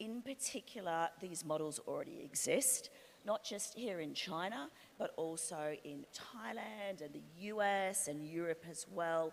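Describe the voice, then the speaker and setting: This woman's voice sits fairly low in pitch. Her intonation is lively, and she speaks at a fairly slow pace. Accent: Australian. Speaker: industry analyst. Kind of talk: panel discussion.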